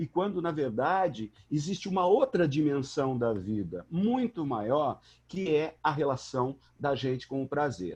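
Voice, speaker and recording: Against a quiet background, a man speaks at a fairly slow pace in a fairly high, somewhat breathy voice. His tone is animated, with very wide pitch swings. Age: 60s. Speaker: psychology professor. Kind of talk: panel discussion.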